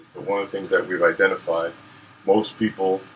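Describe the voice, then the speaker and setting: Here a man speaks with an American accent. Noticeable background noise is present. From US Virgin Islands (Saint Croix), then Florida from 13. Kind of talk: casual chat.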